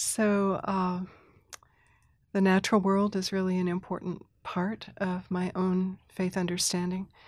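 A woman with an American accent talks at a fairly slow pace in a flat monotone, on a very clean recording with a silent background. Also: medium pitch for a woman. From Thailand (mission community), then US. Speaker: Presbyterian minister and spiritual director. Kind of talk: casual chat.

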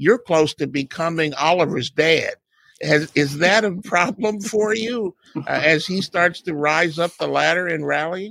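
A man with an American accent and a high pitch speaks at a fairly slow pace with ordinary pitch variation, his bright, sharp tone caught in a dry, close sound with no echo. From United States. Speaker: motorsport podcast co-host. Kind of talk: casual interview.

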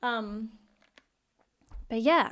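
The recording is very clean, with a silent background. A woman speaks at a fairly high pitch and a fairly slow pace. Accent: Australian. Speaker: pop singer. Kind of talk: casual interview. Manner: animated, excitable.

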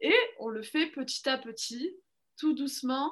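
Very slow speech with lively intonation over a quiet background. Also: woman. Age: 30s. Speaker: education professional. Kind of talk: interview testimony. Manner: halting, many fillers.

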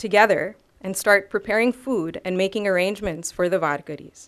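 A woman with a plain, everyday voice speaks at a fairly quick pace with ordinary pitch variation. The recording is very clean, with a silent background. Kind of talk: personal talk at an academic event. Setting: stage with audience.

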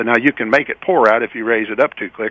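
Talking at a fairly quick pace, a man with a Kentucky accent uses a medium pitch. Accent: Kentucky Southern US. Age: 70s. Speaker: product inventor. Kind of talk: interview. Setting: phone call.

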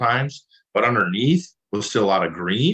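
With an Upper Midwest accent, a man talks at a medium pitch. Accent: Upper Midwest American. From Minnesota. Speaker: farmer. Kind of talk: interview.

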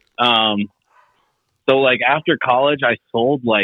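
Carrying an American accent, an unremarkable speaking voice keeps a medium pace and shows ordinary pitch variation. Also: man. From Finland, then US from about age eight. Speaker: moped builder. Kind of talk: casual chat.

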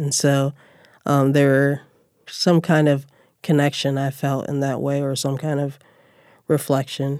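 A woman's very deep, low voice with a dark, mellow tone, monotone and flat, at a fairly slow pace with long, frequent pauses. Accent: American. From Chicago, west side. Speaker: writer and educator. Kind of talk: interview.

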